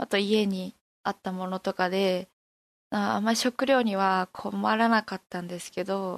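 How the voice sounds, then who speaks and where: A woman speaks fairly slowly in an unremarkable speaking voice at medium pitch, with fairly even intonation. The sound is dry and close with no echo, over a quiet background. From Fukushima, Koriyama. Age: 20s. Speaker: university student. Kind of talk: interview.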